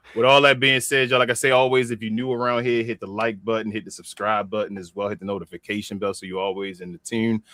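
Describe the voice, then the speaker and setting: A man's fairly low voice with a Baltimore accent, very fast pace, ordinary pitch variation, bright, sharp tone, and a dry, close sound with no echo. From Baltimore, Maryland. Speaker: wrestling podcast host. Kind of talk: casual show outro.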